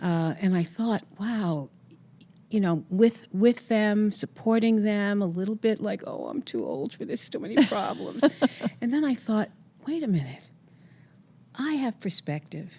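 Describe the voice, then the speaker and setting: A woman speaks with lively intonation and long, frequent pauses. Her voice is somewhat breathy, with a dark, mellow tone. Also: medium pitch for a woman. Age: 80s+. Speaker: psychologist and writer. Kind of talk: interview answer.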